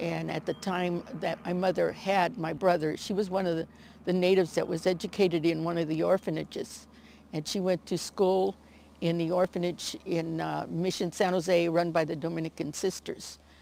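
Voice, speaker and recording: A woman with a Californian accent, fairly low pitch, vocal fry and monotone, flat intonation, at a moderate pace. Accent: Californian American. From US West Coast, Alameda County, California. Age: 80s+. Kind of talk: storytelling interview. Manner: halting, many fillers.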